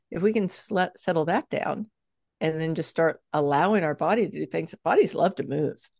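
A woman speaks in an ordinary speaking voice at medium pitch and a moderate pace, with ordinary pitch variation and a dry, close sound with no echo against a quiet background. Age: 60s. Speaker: fitness coach and author. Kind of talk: casual interview chat.

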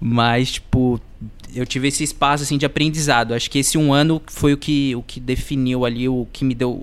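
At a moderate pace, a man speaks at medium pitch in a monotone, flat intonation. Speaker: podcast co-host. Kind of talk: casual chat.

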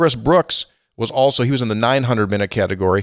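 In a very clean, dry, close recording with a silent background, a man speaks in an animated tone at medium pitch with ordinary pitch variation. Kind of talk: sponsor read with show banter. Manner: animated, punchy, rattling off stats like an announcer.

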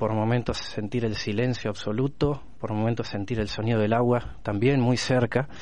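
The man has an unremarkable speaking voice of medium pitch. He keeps a moderate pace and fairly even intonation. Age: 30s. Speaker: blind interviewee. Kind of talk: testimony.

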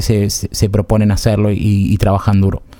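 At a moderate pace, a man with an Argentine accent speaks in a dark, mellow tone. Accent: Rioplatense Argentine Spanish. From Argentina, Buenos Aires area. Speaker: podcast host. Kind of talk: casual chat.

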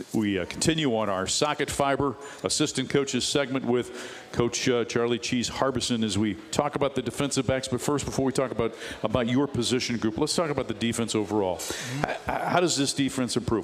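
At a fairly quick pace and very even loudness, a man with a medium pitch and ordinary pitch variation talks over noticeable background noise. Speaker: radio sports host. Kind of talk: live radio sports talk show interview. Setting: bar and grill, live show. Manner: polished, fluent broadcaster.

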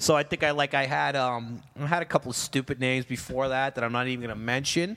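The voice talks at a very fast pace in a New York accent, bright and sharp in tone. Its intonation stays fairly even. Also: man, medium pitch for a man. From New York City, Queens. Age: 40s. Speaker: firefighter captain. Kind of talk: casual chat.

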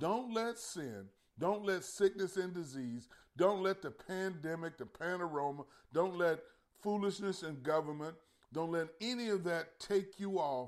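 Lively intonation from a man with a high pitch, at a fairly slow pace. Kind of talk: sermon. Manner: animated, call-and-response preaching, urging the congregation to respond; earnest, exhortative, repeating phrases for emphasis.

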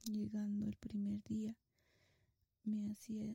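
In a dry, close sound with no echo, a woman speaks at a very slow pace. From Mexico, Guanajuato. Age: 30s. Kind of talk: religious testimony.

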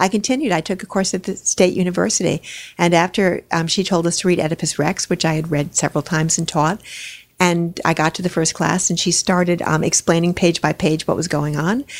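In a dry, close recording with no echo, a woman with an unremarkable speaking voice talks fairly quickly at a fairly low pitch with fairly even intonation. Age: 60s. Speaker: retired high school drama and English teacher. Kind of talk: casual interview conversation.

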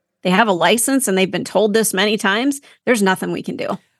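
A woman with a plain, everyday voice, an American accent, lively intonation and a fairly quick pace. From Minnesota. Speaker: podcast co-host. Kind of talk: casual discussion.

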